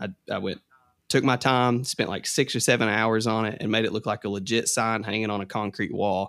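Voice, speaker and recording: A man with an Appalachian accent and a fairly low pitch, at a moderate pace, in a dry, close sound with no echo. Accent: Southern US (Appalachian). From Kentucky. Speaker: TikTok content creator and artist. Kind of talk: casual podcast interview.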